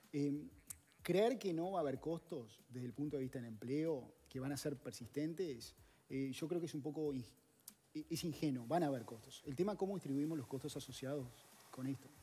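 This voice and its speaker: A man speaks at a moderate pace with a fairly high pitch and ordinary pitch variation. His tone is dark and mellow, and somewhat breathy. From Uruguay. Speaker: economist; guest. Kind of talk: interview. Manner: hesitant, many fillers. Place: studio. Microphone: headset.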